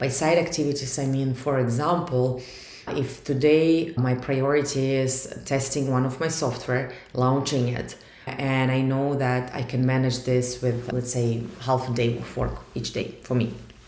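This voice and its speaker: With a Russian accent, a woman speaks at a fairly slow pace in a very deep, low pitch and a monotone, flat intonation. Noticeable background noise and audible room echo fill the recording. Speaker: startup founder. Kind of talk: vlog monologue.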